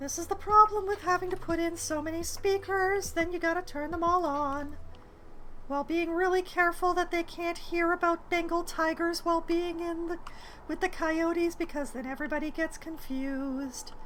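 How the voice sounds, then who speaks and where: Speaking at a moderate pace, a woman uses an extremely high pitch and a bright, sharp tone with fairly even intonation. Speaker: video game streamer. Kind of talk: live stream gameplay commentary. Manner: casual, self-talking with hesitations.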